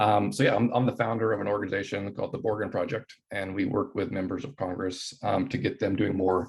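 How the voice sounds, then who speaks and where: The voice is somewhat breathy, in an American accent. It moves at a very fast pace with ordinary pitch variation. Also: man. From US Pacific Northwest (Anacortes, Washington). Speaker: anti-poverty activist, nonprofit founder. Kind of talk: informal talk to students. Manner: casual, many fillers and repetitions.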